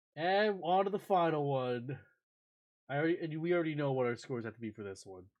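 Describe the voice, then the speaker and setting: Mumbling at a very fast pace, a man with a fairly high pitch uses lively intonation and big swings in loudness. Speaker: streamer. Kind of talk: live stream commentary. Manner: animated.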